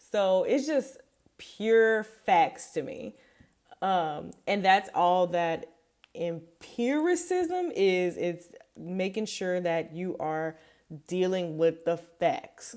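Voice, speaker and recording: Speaking at a very slow pace, a woman with a Louisiana accent keeps a medium pitch. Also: lively intonation. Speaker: behavior analyst. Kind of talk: study tutorial. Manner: casual, many fillers.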